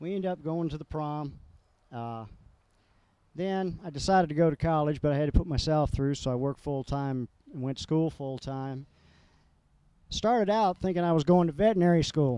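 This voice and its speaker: Pausing long and often, a man with an American accent speaks in a dark, mellow tone at a fairly high pitch. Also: ordinary pitch variation. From US South, Georgia. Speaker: military veteran. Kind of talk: personal life story with photos. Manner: frequent filler uhs; fast.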